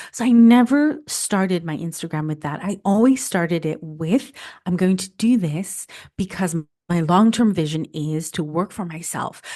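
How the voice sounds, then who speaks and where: A woman speaks with a fairly low pitch and a dark, mellow tone. Her intonation is lively, her pace moderate, and the background quiet. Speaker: food photographer and content creator. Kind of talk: podcast interview.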